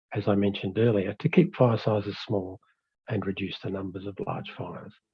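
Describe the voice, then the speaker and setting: Somewhat breathy, a man with an Australian accent talks at a fairly quick pace. His pitch is fairly low and his intonation fairly even. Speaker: fire management expert presenter. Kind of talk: webinar presentation. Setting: online webinar.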